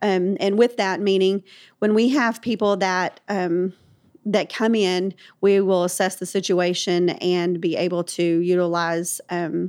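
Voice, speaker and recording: A woman with a plain, everyday voice at a medium pitch keeps a fairly even intonation in a very clean recording with a silent background. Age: 40s. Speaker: founder of homeless ministry nonprofit. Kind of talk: faith-based interview.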